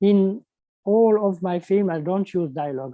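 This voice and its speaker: With a French accent, a man talks at a fairly slow pace in a high voice with ordinary pitch variation. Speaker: animation filmmaker. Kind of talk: panel interview. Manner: halting.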